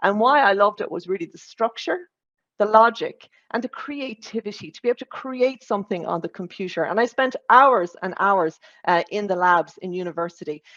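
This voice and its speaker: A woman with an Irish accent speaks at a fairly quick pace, at a medium pitch with ordinary pitch variation. Her loudness swings widely, and the sound is dry and close with no echo against a quiet background. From Ireland, Limerick area. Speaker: corporate data executive, conference speaker. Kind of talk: conference talk.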